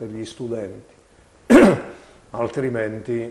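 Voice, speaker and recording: A man talks with monotone, flat intonation. Light background noise can be heard. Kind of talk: televised political address. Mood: firm, critical. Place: office. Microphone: lapel.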